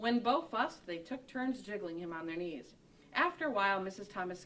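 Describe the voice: This is plain reading aloud. The text is simply read.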